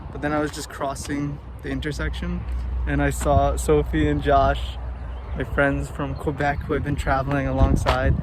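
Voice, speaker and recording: A man with an American accent speaks at a moderate pace in a very deep, low voice and a flat, monotone delivery, with audible room echo and noticeable background noise. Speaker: travel vlogger. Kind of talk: casual vlog.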